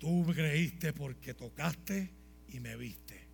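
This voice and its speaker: A man speaks in an animated, dramatic tone. Music plays in the background. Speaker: pastor. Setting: church with congregation. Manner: animated, fervent, emphatic with dramatic storytelling and humor.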